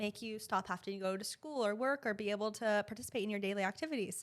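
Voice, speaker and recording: At a very fast pace, a woman speaks with a fairly high pitch. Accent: American. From US Northeast, Boston area. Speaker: pelvic floor physical therapist. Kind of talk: podcast interview. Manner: casual, conversational.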